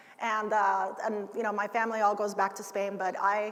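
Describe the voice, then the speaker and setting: A woman with a fairly high voice speaks amid audible room echo. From United States, moved from Cuba at six. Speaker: ergonomics expert, keynote speaker. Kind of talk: conference keynote. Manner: casual, many fillers.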